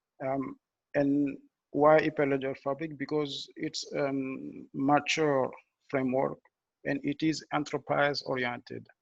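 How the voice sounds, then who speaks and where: Against a quiet background with a dry, close sound and no echo, a man at a fairly high pitch speaks in a monotone, flat intonation at a fairly slow pace with long, frequent pauses. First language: French. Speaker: blockchain engineer. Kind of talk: technical presentation. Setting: video call. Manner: halting, many fillers and restarts.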